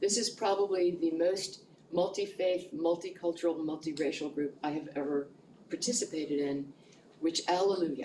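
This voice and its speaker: A woman speaks at a moderate pace with a fairly low pitch. Audible room echo is present. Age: 70s. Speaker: community organizer presenting to a church group. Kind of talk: informal presentation at church coffee talk.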